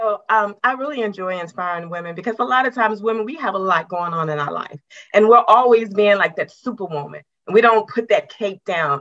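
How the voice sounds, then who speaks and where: An unremarkable speaking voice from a woman with an American accent, medium in pitch, fairly quick, with lively intonation. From West Virginia, US. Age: 50s. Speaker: retired government worker, women's coach. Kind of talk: interview podcast. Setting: video call.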